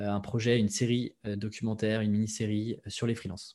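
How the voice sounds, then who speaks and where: A man talks at a moderate pace with fairly low pitch and fairly even intonation. It is an unremarkable speaking voice over a quiet background. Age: 20s. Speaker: copywriter and podcaster. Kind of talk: interview.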